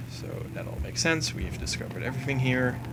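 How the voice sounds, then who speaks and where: A man's moderately paced speech comes through noticeable background noise and audible room echo. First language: not English. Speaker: gaming commentator. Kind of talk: gameplay commentary. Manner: casual, with fillers.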